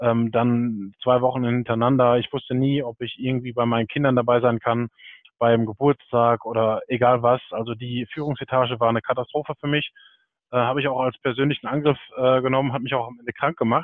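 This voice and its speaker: At a fairly quick pace, a man talks at a medium pitch with monotone, flat intonation. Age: 30s. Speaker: PR manager. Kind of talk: interview.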